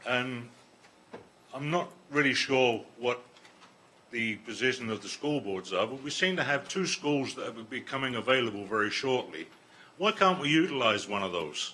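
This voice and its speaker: A man speaks at a moderate pace with medium pitch and lively intonation. His tone is bright and sharp, broken by long, frequent pauses. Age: 70s. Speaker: resident speaking at council meeting. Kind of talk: public comment.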